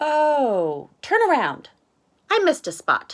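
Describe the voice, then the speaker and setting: A put-on character voice, pitched high. It moves at a fairly slow pace. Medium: read story. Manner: bright, eager.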